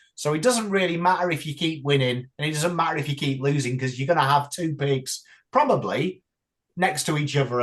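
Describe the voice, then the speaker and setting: A speaker with an English accent talks at a moderate pace with ordinary pitch variation. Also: man. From England. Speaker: YouTuber and football fan. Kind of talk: casual chat.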